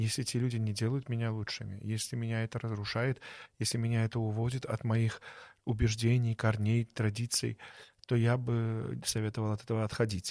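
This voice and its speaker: Heard over a very clean recording with a silent background, a man speaks at a medium pitch and moderate pace in a monotone, flat intonation. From Belarus (born in Baku). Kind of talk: interview.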